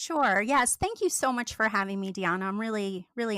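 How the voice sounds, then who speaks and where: Bright, sharp tone and lively intonation mark this speaker with an American accent. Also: woman, very clean recording, silent background. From US. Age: 50s. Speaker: former cult member. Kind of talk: interview testimony.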